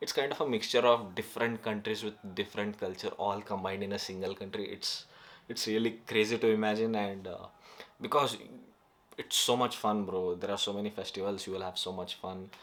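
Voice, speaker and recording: A man speaks at a fairly quick pace with a Karnataka accent, his fairly low pitch carried in fairly even intonation. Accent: Indian (Kannada) English. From North Karnataka, India. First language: Kannada. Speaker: YouTuber. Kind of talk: casual vlog monologue. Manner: halting, many fillers.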